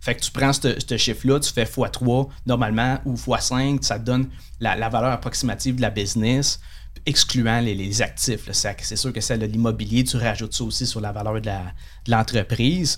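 At a moderate pace, a man with a medium pitch and vocal fry keeps his intonation fairly even. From Quebec, Saguenay (Chicoutimi). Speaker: day trader and trading instructor. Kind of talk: casual interview.

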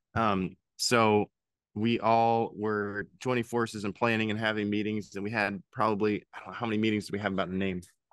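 A man with an American accent talks at a fairly quick pace in a monotone, flat intonation. The background is quiet. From Pennsylvania. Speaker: head brewer. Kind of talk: casual interview.

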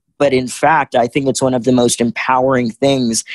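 A man with an American accent talks at a moderate pace in a plain, everyday voice. The sound is dry and close, with no echo. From US South, Richmond, Virginia. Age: 20s. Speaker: motivational speaker and activist. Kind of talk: interview.

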